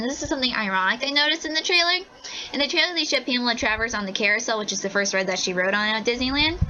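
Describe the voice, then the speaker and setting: A woman's high voice at a very fast pace, lively intonation, noticeable background noise. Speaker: segment contributor. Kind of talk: casual segment talk. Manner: animated.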